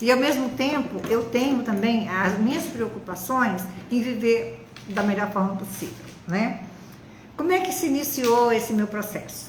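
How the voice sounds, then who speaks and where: With lively intonation at a fairly slow pace, a woman speaks at a fairly high pitch amid noticeable background noise and audible room echo. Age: 70s. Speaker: retired biologist, cancer survivor. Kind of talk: testimony.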